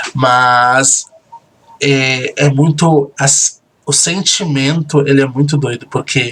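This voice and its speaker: Very slow and very even in loudness, a man with a fairly high pitch speaks with fairly even intonation. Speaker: reality show host and admin. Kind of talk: recorded commentary. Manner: soft-spoken.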